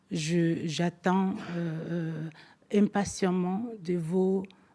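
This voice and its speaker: A woman with a non-native accent, a dark, mellow tone, a fairly low pitch and monotone, flat intonation. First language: not French (speaking French). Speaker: forum speaker, commission vice-president. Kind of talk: conference speech. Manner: halting, many hesitations.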